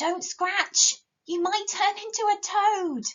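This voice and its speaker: A woman puts on a squeaky character voice at an extremely high pitch. She speaks at a fairly slow pace with fairly even intonation. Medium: read story. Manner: bossy, confident.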